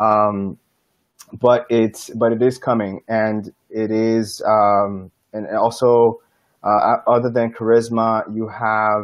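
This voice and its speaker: A man speaks at a very slow pace with monotone, flat intonation. The background is quiet. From Dominican Republic. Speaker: airline vacations business development manager. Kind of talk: online interview. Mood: relaxed, friendly. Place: home room. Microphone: earbuds.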